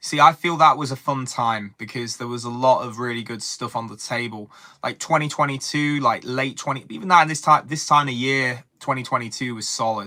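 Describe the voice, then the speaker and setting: In an English accent, a man with a medium pitch and a bright, sharp tone talks at a fairly quick pace with hardly any pauses, big swings in loudness and ordinary pitch variation. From England. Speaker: wrestling commentator streamer. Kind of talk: live stream chat. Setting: live stream. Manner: halting.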